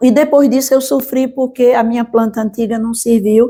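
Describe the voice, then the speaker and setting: Speaking fairly slowly, a woman has a dark, mellow tone. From Brazil, Pernambuco (Triunfo). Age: 80s+. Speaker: teacher, historian and writer. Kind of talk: interview.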